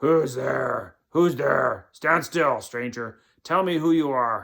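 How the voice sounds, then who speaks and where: Growling in a put-on character voice, a man speaks at a fairly high pitch. His pace is very slow. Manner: threatening, demanding.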